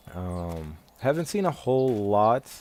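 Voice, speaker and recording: The speaker is a man with a fairly low pitch. Noticeable background noise runs behind him. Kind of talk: game voice-over. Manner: hesitant.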